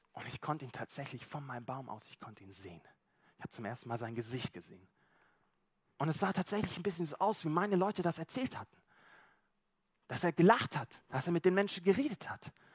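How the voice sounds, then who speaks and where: A man's fairly high, animated voice with vocal fry, very fast pace, very wide pitch swings, big swings in loudness and long, frequent pauses, in a dry, close sound with no echo. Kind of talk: sermon with role-play storytelling. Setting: church. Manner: first-person storytelling as Zachaeus, animated, conversational and vivid; relaxed, informal, slightly halting with repeated words.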